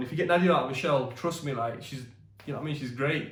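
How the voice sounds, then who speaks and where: A man at a very fast pace with a British accent and a fairly high pitch, amid noticeable background noise and audible room echo. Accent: British English, urban. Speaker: YouTube co-host, husband. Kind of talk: casual chat. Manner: loud; animated.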